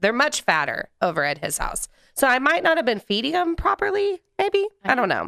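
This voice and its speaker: A woman raises and projects her high, bright, sharp voice at a moderate pace, swinging very widely in pitch, in a dry, close sound with no echo. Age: 30s. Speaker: manufacturer sales representative. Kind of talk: casual interview.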